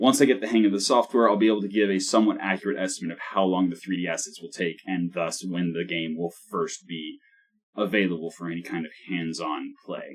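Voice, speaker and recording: A man's very deep, low voice at a fairly quick pace with ordinary pitch variation. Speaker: solo game developer. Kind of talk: dev log narration. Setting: one-take recording. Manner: fast.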